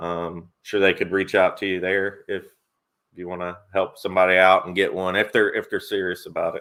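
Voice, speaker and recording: At a moderate pace, a man speaks in a Tennessee accent. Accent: Southern US (Tennessee). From Tennessee, Nashville. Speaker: sports YouTuber and live stream host. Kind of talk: live stream chat.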